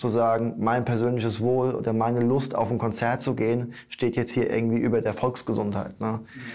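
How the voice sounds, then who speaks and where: This man's medium-pitched voice stays monotone, with flat intonation. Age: 30s. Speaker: newspaper editor. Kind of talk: interview. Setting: newspaper office. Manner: hesitant, many fillers.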